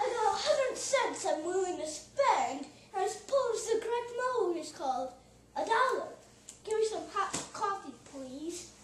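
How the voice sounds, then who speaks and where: A woman uses a put-on character voice at an extremely high pitch, with very wide pitch swings. She goes at a moderate pace with a slight echo. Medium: comedy sketch. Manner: tough, threatening.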